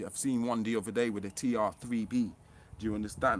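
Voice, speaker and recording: In a very clean recording with a silent background, a man with a medium pitch talks at a fairly quick pace in an animated tone. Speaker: conspiracy vlogger. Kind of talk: casual monologue vlog. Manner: fast.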